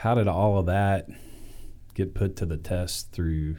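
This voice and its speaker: This man has a dark, mellow tone and ordinary pitch variation. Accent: Southern US. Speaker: pastor. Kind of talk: interview. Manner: warm, conversational.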